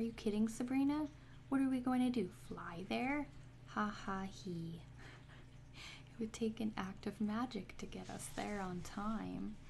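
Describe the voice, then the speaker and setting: Soft-spoken and at a fairly slow pace, the voice carries over light background noise. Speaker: comic reader. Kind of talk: reading aloud with casual asides. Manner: soft ASMR reading of a comic line. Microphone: phone near.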